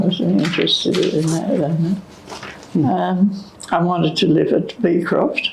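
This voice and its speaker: Noticeable background noise sits under a woman with an Australian accent who talks at a fairly slow pace with very even loudness and long, frequent pauses. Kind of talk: interview answer.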